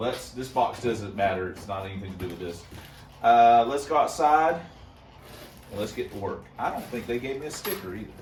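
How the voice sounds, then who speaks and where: The speech moves at a fairly quick pace with lively intonation and big swings in loudness. Music plays in the background, and room echo is audible. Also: man, medium pitch for a man. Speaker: car hobbyist video host. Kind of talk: casual unboxing vlog. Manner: casual, halting with fillers.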